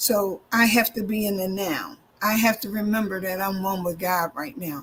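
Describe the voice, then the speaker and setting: Noticeable background noise sits behind a woman talking at a moderate pace. Her pitch is medium, with ordinary variation. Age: 60s. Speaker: minister and EFT practitioner. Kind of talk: interview.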